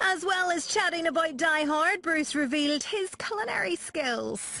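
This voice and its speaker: Extremely high in pitch, a woman's raised, projected voice moves at a moderate pace with lively intonation and very even loudness over noticeable background noise. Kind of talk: news narration.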